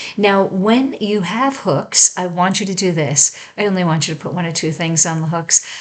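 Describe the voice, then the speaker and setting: A woman's fairly low voice, with pitch that moves in a normal way, comes through over noticeable background noise. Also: moderate pace, hardly any pauses. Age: 60s. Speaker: home staging coach. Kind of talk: tutorial. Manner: conversational, with filler words.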